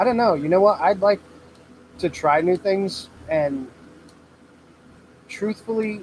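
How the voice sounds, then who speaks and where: The speaker is loud, with an American accent. The pace is fairly slow, with long, frequent pauses. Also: man, high pitch for a man, ordinary pitch variation. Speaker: welder and fabricator, channel owner. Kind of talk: livestream Q&A with chat. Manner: loud, talking over heater.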